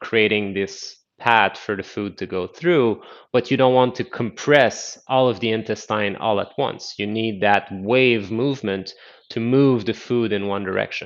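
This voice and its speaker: A man talks in an unremarkable speaking voice at a medium pitch. His intonation stays fairly even against a quiet background. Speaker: qigong instructor. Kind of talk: live online class instruction.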